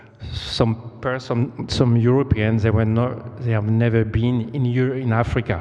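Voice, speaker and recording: This man speaks at a medium pitch in a monotone, flat way with a non-native accent. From Côte d'Ivoire. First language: French. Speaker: storyteller. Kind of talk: storytelling performance. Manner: halting.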